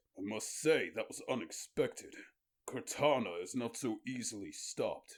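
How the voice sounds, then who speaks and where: Using a put-on character voice, a man speaks at a moderate pace with big swings in loudness. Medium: read story. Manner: formal, forceful.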